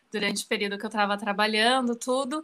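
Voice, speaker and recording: The tone is bright and sharp. Pitch moves with ordinary variation. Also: woman, very clean recording, silent background. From Brazil, São Paulo. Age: 30s. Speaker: professional organizer. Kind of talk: casual interview.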